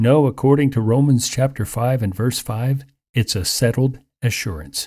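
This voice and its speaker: A man speaks at a moderate pace with a medium pitch and a dark, mellow tone, somewhat breathy. The recording is very clean, with a silent background. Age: 60s. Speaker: radio Bible teacher. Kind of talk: radio sermon.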